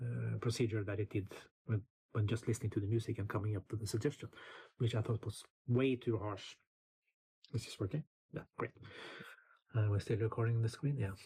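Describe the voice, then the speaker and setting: A man with a Norwegian accent speaks at a fairly quick pace with long, frequent pauses, his medium-pitched voice dark, mellow and somewhat breathy. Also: fairly even intonation. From Norway. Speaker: music producer and YouTuber. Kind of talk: casual tutorial. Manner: halting, many fillers.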